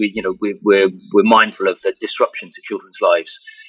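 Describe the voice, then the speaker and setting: At a moderate pace, a man speaks with a southern English accent. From southern England. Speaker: virtual reality professional. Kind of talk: interview. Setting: online interview. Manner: halting, many fillers and repeats.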